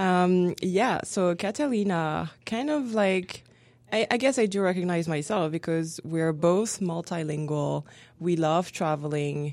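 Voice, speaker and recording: A woman with a French accent and fairly low pitch speaks at a fairly slow pace, using lively intonation. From France. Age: 30s. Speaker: graduate student and French instructor. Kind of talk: casual interview.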